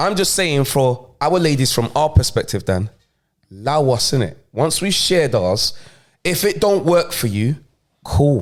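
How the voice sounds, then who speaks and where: A man with a fairly high pitch speaks at a fairly slow pace in an animated tone, with very wide pitch swings, in a very clean recording over a silent background. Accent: London. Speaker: podcast co-host. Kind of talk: casual chat.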